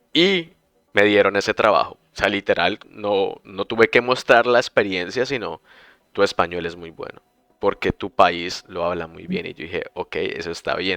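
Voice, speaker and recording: The sound is dry and close, with no echo. A man talks at a moderate pace with big swings in loudness. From Colombia, Bucaramanga. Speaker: podcast host, language teacher. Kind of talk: casual chat.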